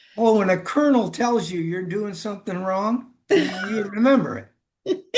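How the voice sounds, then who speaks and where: A man talks loudly at a high pitch, his pitch varying in an ordinary way. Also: moderate pace. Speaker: former dialysis technician, workshop participant. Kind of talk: casual chat.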